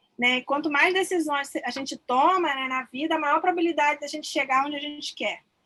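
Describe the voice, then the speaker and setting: Bright and sharp, a woman's high-pitched voice keeps fairly even intonation. The pace is moderate. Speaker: student presenter. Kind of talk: class presentation.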